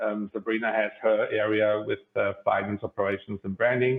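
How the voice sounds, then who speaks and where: Here is a man with a German accent. His pitch is fairly low. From Germany (Bavaria). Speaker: company CEO. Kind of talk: podcast interview.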